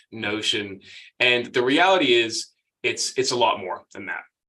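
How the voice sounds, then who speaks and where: In an American accent, a man talks at a moderate pace with a medium pitch and a bright, sharp tone. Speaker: email marketing agency owner, former stand-up comedian. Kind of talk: webinar presentation. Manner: casual, conversational.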